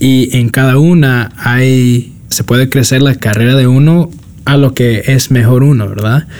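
An unremarkable speaking voice holds very even loudness at a fairly slow pace. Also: man, medium pitch for a man, fairly even intonation. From US, New York (South Bronx). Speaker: designer and podcaster. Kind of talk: casual interview.

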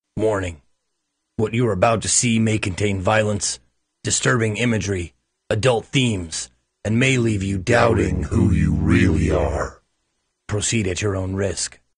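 A man talks at a moderate pace in a fairly low voice. He leaves long, frequent pauses. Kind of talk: warning announcement. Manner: grave, measured.

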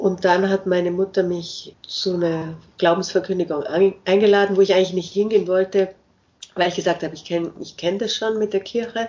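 A woman at a medium pitch talks at a fairly quick pace with monotone, flat intonation. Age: 50s. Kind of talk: interview.

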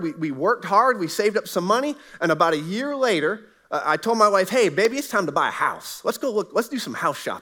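A man with an American accent in a raised, projected voice, high in pitch, with a bright, sharp, animated tone, lively intonation and a very fast pace. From US South, Southwest Florida. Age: 40s. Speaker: pastor. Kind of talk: sermon. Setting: church.

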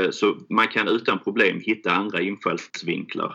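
A man with a Scanian accent. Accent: Skåne. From Skåne, southern Sweden (Helsingborg). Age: 40s. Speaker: fund founder. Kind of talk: interview. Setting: remote recording.

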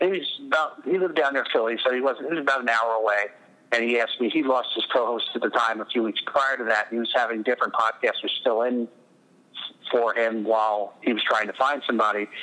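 Speaking very fast, a man with a bright, sharp tone keeps to a medium pitch with ordinary pitch variation. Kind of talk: casual interview chat. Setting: remote call interview.

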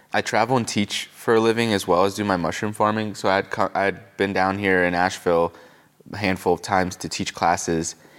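A man's plain, everyday voice with an American accent, fairly low in pitch, at a fairly quick pace with fairly even intonation. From Pennsylvania. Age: 20s. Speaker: mycologist and mushroom farmer. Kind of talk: casual interview. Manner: casual, filler-heavy.

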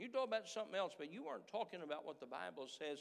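A man's voice with very wide pitch swings. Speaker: preacher. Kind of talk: sermon. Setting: church. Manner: earnest, impassioned, pleading; burdened tone that builds to rhetorical questions; preaches with pointed repetition and call-and-response questions to the congregation.

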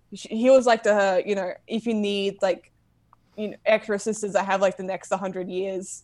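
Against a quiet background, a woman in an ordinary speaking voice talks at a moderate pace and medium pitch. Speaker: comic book fan guest reviewer. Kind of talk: casual chat.

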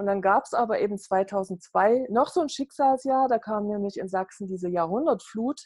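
This is an ordinary speaking voice. The woman's pitch is fairly high. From East Germany (GDR), Saxony. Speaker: network marketing entrepreneur. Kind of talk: interview.

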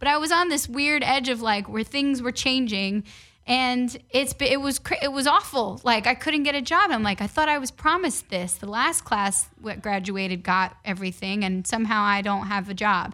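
Speaking in a New York accent, a woman uses a fairly high, bright, sharp voice with lively intonation, a moderate pace and hardly any pauses. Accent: New York (Bronx). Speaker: sports reporter. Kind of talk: casual interview. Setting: studio. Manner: energetic, animated.

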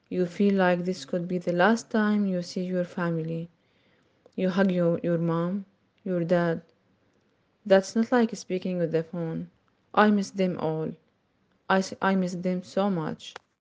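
Using an Arabic accent, a woman speaks at a fairly slow pace with fairly even intonation and long, frequent pauses. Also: medium pitch for a woman. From Syria. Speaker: refugee. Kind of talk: interview testimony.

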